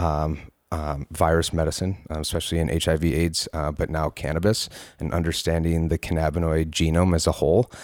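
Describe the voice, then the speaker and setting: A man with an American accent talks at a moderate pace with hardly any pauses. His very deep, low voice stays monotone and flat. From western New York (Palmyra). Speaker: cannabis reform activist. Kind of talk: casual interview.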